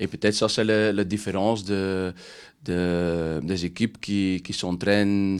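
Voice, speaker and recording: A man with a Dutch accent, very deep and low in pitch, monotone and flat, at a very slow pace on a very clean recording with a silent background. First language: Dutch (speaking French). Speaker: football coach. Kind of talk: press conference. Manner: halting.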